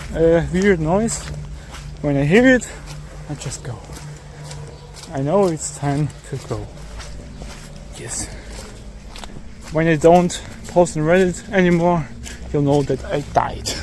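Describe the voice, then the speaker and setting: With long, frequent pauses and a very slow pace, a man speaks in a fairly high pitch with ordinary pitch variation over noticeable background noise. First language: German. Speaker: amateur video uploader. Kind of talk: casual chat. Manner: halting.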